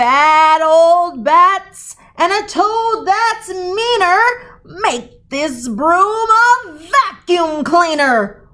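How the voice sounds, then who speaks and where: A woman's put-on character voice, extremely high-pitched and raised in projection, with very wide pitch swings at a very slow pace. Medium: read story.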